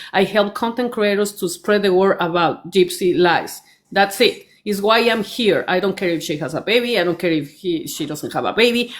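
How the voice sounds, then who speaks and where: A woman with a non-native accent and ordinary pitch variation. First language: not English. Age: 50s. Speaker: commenter in a live stream discussion. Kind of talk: heated debate. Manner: halting, many fillers and restarts.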